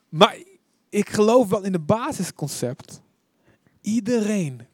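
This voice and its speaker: A dry, close sound with no echo, its pitch moving in an ordinary way. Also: man. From Netherlands, Deventer. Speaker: preacher. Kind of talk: sermon.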